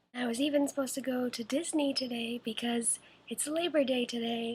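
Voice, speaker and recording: Quiet speech at a moderate pace with fairly even intonation, on a very clean recording with a silent background. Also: woman. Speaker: vlogger with cystic fibrosis. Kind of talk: video diary. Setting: at home. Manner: hesitant.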